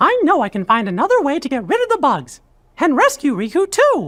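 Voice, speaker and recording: Someone uses a put-on character voice at a high pitch with very wide pitch swings, moving at a fairly quick pace. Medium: video game. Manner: earnest, upbeat.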